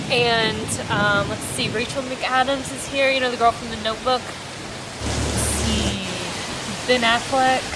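Loud background noise accompanies a woman speaking at a very slow pace. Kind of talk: casual vlog chat.

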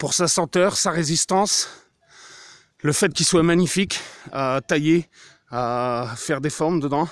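On a very clean recording with a silent background, a man talks at a fairly slow pace with a fairly high pitch and ordinary pitch variation. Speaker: hiking vlogger. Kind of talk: casual vlog narration while hiking. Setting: outdoors, mountain trail. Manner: informal, conversational.

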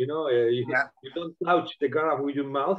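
A fairly high-pitched man's voice with a Spanish accent. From Spain. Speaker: winemaker. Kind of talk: live online wine tasting. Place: home room. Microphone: video call.

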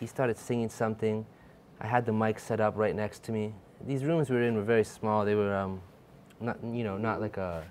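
A man's fairly low voice at a fairly quick pace, fairly even in intonation, over light background noise. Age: 20s. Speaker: music producer and songwriter; guest. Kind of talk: casual chat. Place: studio. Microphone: lapel.

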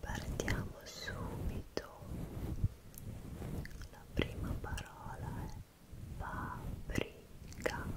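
A woman speaks at a very slow pace. Long pauses come often. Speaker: ASMR creator. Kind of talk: ASMR trigger words video. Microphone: studio mic.

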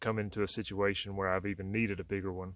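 A man with a fairly low pitch talks at a moderate pace. His intonation is monotone and flat, and the sound is dry with no echo. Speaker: product reviewer. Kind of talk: casual product review vlog. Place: open country. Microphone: phone near.

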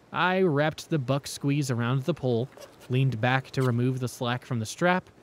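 Someone is reading aloud in a natural voice, and the pitch varies in an ordinary way.

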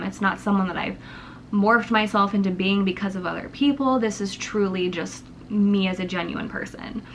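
A woman speaks at a moderate pace with ordinary pitch variation. Light background noise can be heard. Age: 20s. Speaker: YouTuber. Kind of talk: casual vlog monologue. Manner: rambling, unedited. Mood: candid, reflective personal talk. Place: home room. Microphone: camera far.

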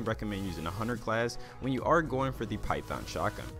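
A man rattles along at a very fast pace with music in the background. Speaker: gaming video creator. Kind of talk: gaming guide narration. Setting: low recording volume.

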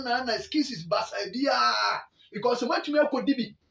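A man speaks at an extremely high pitch in a bright, sharp tone. The room echo is audible over a quiet background. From Ghana. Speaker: sports channel host. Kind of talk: sports news commentary. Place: home room. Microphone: phone near.

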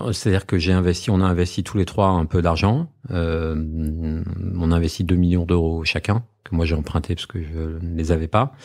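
The voice is a man's, very deep and low in pitch. His intonation is fairly even. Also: moderate pace. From Normandy, France (Trouville). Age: 40s. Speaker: media group founder and executive. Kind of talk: interview.

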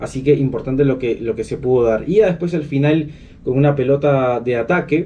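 Speaking at a fairly quick pace, a man with a fairly high pitch and a dark, mellow tone shows ordinary pitch variation. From Peru. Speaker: football fan channel host; football fan commentator. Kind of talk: match analysis vlog. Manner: animated, many fillers. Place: home room.

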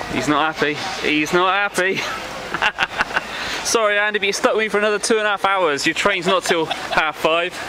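Over noticeable background noise, a man uses a raised, projected voice at a fairly quick pace, with very even loudness and ordinary pitch variation. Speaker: vlogger filming a friend. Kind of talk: casual vlog chat. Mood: joking, teasing banter. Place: street. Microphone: phone near.

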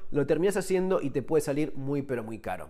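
Over a quiet background, a man talks at a fairly quick pace with a Rioplatense accent. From Argentina. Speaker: survival and firearms YouTuber, author. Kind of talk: tutorial. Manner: casual, conversational. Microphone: phone near.

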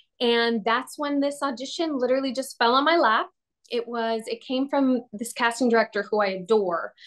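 A woman speaks with a high pitch and ordinary pitch variation. The background is quiet. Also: moderate pace. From Latin America (Honduran-Venezuelan). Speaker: actress. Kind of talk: interview. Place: home room. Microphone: video call.

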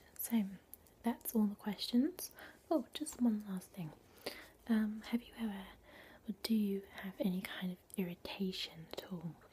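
A woman with a dark, mellow, somewhat breathy tone speaks at a moderate pace with long, frequent pauses. Her loudness swings widely over light background noise. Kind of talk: soft role play talk to the viewer. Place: home room. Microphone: webcam.

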